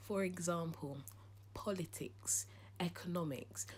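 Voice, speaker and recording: A woman's fairly low voice in a London accent, with vocal fry and very wide pitch swings. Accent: British English, London. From England, lived in Ghana age 6 to 9. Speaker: YouTuber. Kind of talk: casual chat. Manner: animated.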